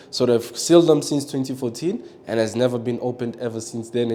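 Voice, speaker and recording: Speaking at a very fast pace, a man keeps a medium pitch and fairly even intonation. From born in DR Congo, raised in South Africa. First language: French and Swahili. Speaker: local tour guide. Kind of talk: guided tour conversation.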